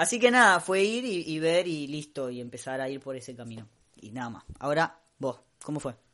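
Fairly high in pitch, a man speaks at a fairly quick pace with very wide pitch swings and big swings in loudness. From Costa Rica. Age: 30s. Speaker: podcast co-host. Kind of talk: casual chat. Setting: home recording, not a studio booth.

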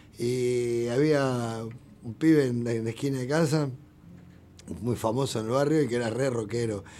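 Against audible room echo, a man with a medium pitch and a dark, mellow tone speaks at a moderate pace with fairly even intonation and long, frequent pauses. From Argentina, Buenos Aires southern suburbs. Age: 50s. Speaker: rock musician. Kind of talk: casual interview.

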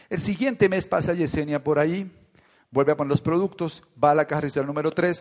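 The delivery has an animated tone and a fairly quick pace. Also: man. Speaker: network marketing leader. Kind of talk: motivational talk.

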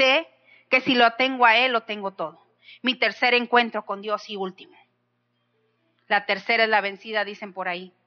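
An animated, passionate tone at a moderate pace, with long, frequent pauses and music in the background. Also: woman, fairly high pitch for a woman. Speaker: pastor. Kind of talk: sermon, preached with fervent exhortation. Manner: animated, passionate, rhetorical questions to the congregation.

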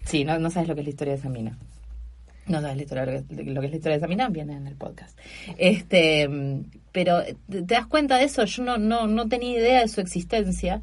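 A woman's fairly low, somewhat breathy voice with a Buenos Aires accent, very wide pitch swings, a moderate pace and audible room echo. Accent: Rioplatense Spanish (Buenos Aires). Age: 40s. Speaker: stand-up comedian and scientist. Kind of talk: casual interview chat.

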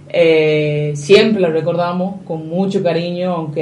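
In a room with audible echo, a woman talks at a fairly slow pace. Her pitch is fairly low, with ordinary variation. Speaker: radio host. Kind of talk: radio interview. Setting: radio studio.

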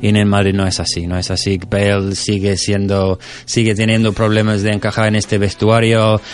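Flat and monotone, a man's fairly low voice moves at a moderate pace with an English accent. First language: English (speaking Spanish). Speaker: football correspondent. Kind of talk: casual chat. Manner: halting.

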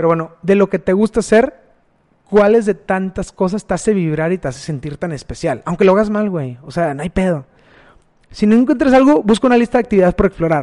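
This man speaks at a fairly quick pace in a high voice, with a northern Mexican accent. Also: lively intonation. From Mexico, Matamoros, Tamaulipas. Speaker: podcast host. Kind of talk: personal monologue. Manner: casual, with hesitations.

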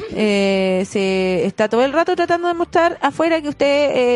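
With a Chilean accent, a woman speaks at a moderate pace and with lively intonation. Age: 20s. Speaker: astrologer. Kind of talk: casual chat. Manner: animated.

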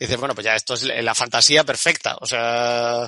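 A man at a fairly quick pace, bright, sharp tone, dry, close sound with no echo. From Andalusia, Spain. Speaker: architect and university lecturer. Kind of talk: casual chat.

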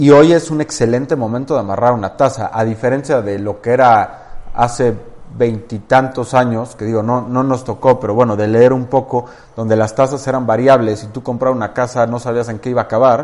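Using fairly even intonation, a man talks at a medium pitch in an unremarkable speaking voice. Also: fairly quick pace. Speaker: real estate firm co-founder. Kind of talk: interview.

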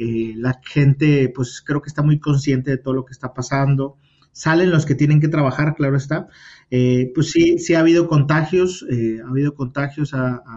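A man's fairly high, somewhat breathy voice with fairly even intonation. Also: moderate pace. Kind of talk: casual interview. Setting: remote call.

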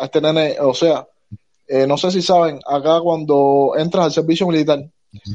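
A man talks at a moderate pace with fairly even intonation. His tone is dark and mellow. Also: fairly high pitch for a man. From Cuba. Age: 20s. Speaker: self-employed worker, former port worker. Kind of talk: live audio space discussion.

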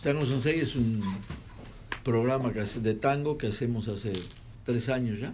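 Amid audible room echo, a man of medium pitch speaks at a moderate pace in a fairly even tone, leaving long, frequent pauses. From Argentina, Buenos Aires. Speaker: radio host. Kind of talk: casual chat.

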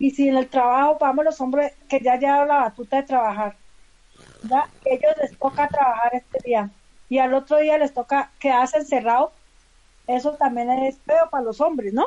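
A woman with a coastal Colombian accent speaks at a moderate pace, her high voice dark and mellow in tone, with fairly even intonation. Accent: Colombian coastal-sounding. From Colombia, Valle del Cauca (Palmira). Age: 50s. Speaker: community leader. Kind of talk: casual chat.

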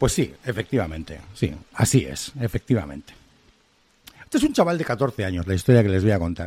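Using very wide pitch swings, a man talks at a moderate pace. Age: 40s. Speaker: clinical psychologist and podcast host. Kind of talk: solo monologue. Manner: animated.

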